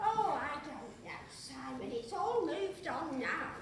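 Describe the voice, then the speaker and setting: A put-on character voice moves at a fairly slow pace, with a slight echo and clear background noise. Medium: comedy sketch. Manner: earnest, flustered.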